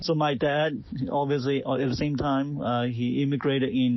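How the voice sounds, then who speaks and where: A man at a medium pitch with monotone, flat intonation and audible room echo. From Hong Kong. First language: Cantonese. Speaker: realtor. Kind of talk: personal story to camera. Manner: halting, many fillers.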